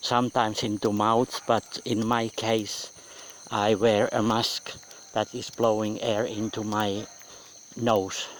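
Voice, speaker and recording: A man's fairly low voice, monotone and flat, at a very slow pace. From Finland. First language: Finnish. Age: 50s. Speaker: audio blogger. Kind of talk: personal audio blog monologue. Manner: clear, not linking words.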